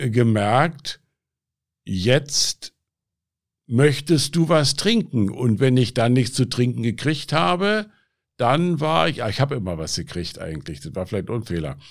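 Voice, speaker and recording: A man with a Berlin accent speaks at a medium pitch and a fairly slow pace, with vocal fry and very wide pitch swings. Long, frequent pauses break up his speech on a very clean recording with a silent background. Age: 70s. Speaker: addiction self-help group leader. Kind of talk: interview, personal testimony.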